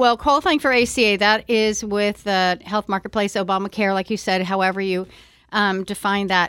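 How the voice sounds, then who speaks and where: A woman's medium-pitched voice, a normal speaking voice, at a moderate pace with fairly even intonation and a dry, close sound with no echo. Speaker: Medicare insurance director. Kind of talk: radio interview, informational discussion.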